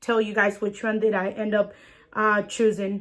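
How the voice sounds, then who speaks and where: A woman speaks with a bright, sharp tone. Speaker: beauty vlogger. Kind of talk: tutorial. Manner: casual, chatty with fillers.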